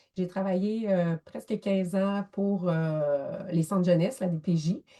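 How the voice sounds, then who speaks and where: In a Quebec accent, a woman speaks at a very slow pace with a medium pitch and ordinary pitch variation. Her voice is somewhat breathy, with a dark, mellow tone. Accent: Québécois French. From Quebec, near Thetford Mines. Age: 40s. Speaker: photographer and social worker. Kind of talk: interview. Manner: animated.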